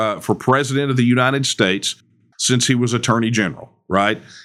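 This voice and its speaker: A man speaks at a fairly quick pace in a Texan accent. His pitch is medium and his intonation fairly even. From Texas. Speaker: political movement leader. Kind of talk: interview.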